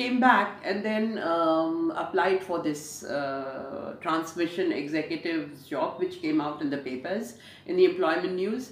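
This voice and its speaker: A woman talks at a fairly slow pace with lively intonation and hardly any pauses. Noticeable background noise runs behind her. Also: fairly low pitch for a woman. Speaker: radio broadcaster. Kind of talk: interview answer. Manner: jovial, lively.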